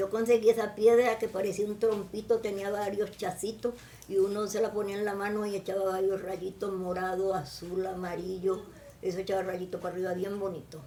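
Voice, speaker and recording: Over noticeable background noise, a woman talks at a medium pitch and a moderate pace with fairly even intonation. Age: 80s+. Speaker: interviewee, mother of the interviewer. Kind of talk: casual family interview.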